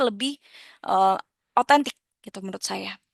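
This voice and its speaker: A woman speaks at a fairly high pitch with ordinary pitch variation. The sound is dry and close, with no echo. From Indonesia, Jakarta. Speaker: lecturer. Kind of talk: lecture. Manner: halting, many fillers.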